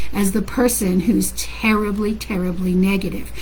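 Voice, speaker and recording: Loud and animated, a woman talks at a moderate pace over noticeable background noise. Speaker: parenting coach. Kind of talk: casual talk to online audience.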